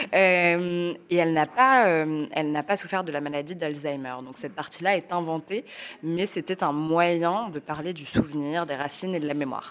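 A woman speaks at a moderate pace in a fairly low voice, her pitch varying in an ordinary way and her loudness swinging widely. The recording is very clean, with a silent background. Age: 30s. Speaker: novelist. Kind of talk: interview. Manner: halting.

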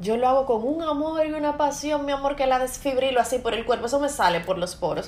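A woman's high voice at a very fast pace, with ordinary pitch variation and noticeable background noise. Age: 30s. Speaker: podcast host and entrepreneur. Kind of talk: casual chat.

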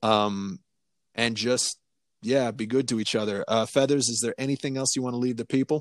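An ordinary speaking voice from a man, medium in pitch, fairly even in intonation and moderate in pace, in a very clean recording with a silent background and a dry, close sound with no echo. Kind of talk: casual banter with podcast sign-off. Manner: laid-back, laughing along.

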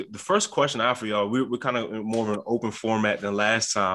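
A man speaks at a fairly quick pace in a bright, sharp tone against a quiet background. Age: 20s. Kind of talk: faith discussion podcast.

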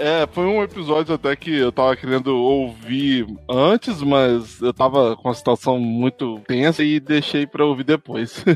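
Recorded with a dry, close sound and no echo, a man speaks in a normal speaking voice at medium pitch and a fairly slow pace, with hardly any pauses and very even loudness. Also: ordinary pitch variation. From Brazil, Espírito Santo. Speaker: podcaster. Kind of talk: casual interview.

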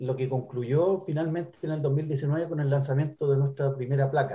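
Somewhat breathy, with a dark, mellow tone, the voice moves at a moderate pace. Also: man. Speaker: singer and guitarist. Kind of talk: interview.

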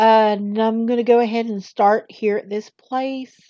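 A woman speaks in a Southern US accent at a very slow pace. Her tone is dark and mellow, with a fairly high pitch and ordinary pitch variation. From US South. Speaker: amateur reader. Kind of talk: reading aloud. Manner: hesitant, many fillers.

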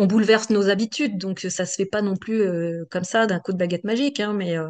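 A woman at a medium pitch and moderate pace, with ordinary pitch variation and a quiet background. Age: 50s. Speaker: coaching client, executive assistant. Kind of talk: testimonial interview. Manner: hesitant, many fillers.

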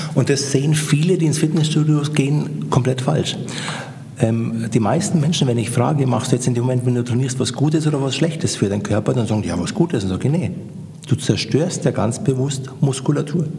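Noticeable background noise and audible room echo accompany the talking. It runs at a fairly quick pace, its pitch varying in an ordinary way. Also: man, medium pitch for a man. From Upper Bavaria, near Munich. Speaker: gym owner and fitness trainer. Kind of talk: casual interview.

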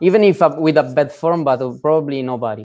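In an Italian accent, a man talks at a moderate pace with a fairly high pitch. His tone is dark and mellow, with ordinary pitch variation. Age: 20s. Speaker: calisthenics athlete. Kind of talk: interview. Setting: video call.

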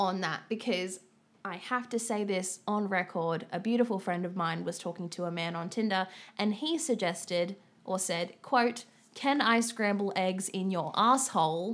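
Here is a woman with an unremarkable speaking voice. Her pitch is medium, with ordinary pitch variation. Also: moderate pace. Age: 20s. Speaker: podcast co-host. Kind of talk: casual chat.

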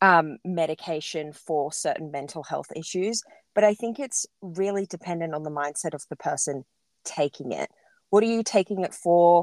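A woman with an Australian accent speaks at a moderate pace in a fairly low voice with ordinary pitch variation. The sound is dry and close with no echo, on a very clean recording with a silent background. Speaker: podcast host. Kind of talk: scripted acknowledgement; casual interview.

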